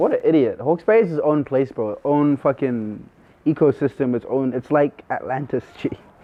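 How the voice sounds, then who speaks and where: With a New Zealand accent, a man talks at a moderate pace in a fairly high voice, his pitch varying in an ordinary way. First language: not English. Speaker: rapper. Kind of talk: casual chat. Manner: animated.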